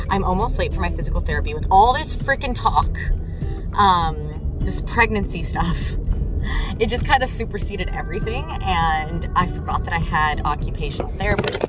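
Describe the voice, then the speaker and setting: A woman talks at a moderate pace over clear music in the background, with a dry sound and no echo. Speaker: vlogger mother. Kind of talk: casual vlog chat. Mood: relieved, a bit sad. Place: car. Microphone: phone near.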